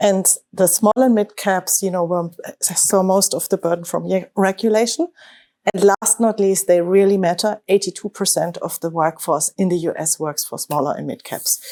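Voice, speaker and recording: A dark, mellow tone with a German accent, in a very clean recording with a silent background. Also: woman, medium pitch for a woman, ordinary pitch variation, moderate pace, dry, close sound with no echo. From Germany. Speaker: investment manager. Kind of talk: panel discussion. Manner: hesitant, many fillers and restarts.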